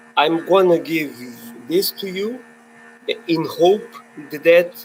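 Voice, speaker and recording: High-pitched male speech in a Portuguese accent, with long, frequent pauses and noticeable background noise. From Portugal. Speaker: filmmaker. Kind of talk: webinar panel discussion. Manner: halting.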